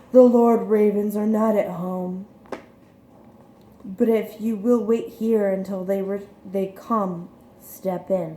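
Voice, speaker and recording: A female-sounding, put-on character voice at medium pitch moves at a fairly slow pace with long, frequent pauses. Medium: read story.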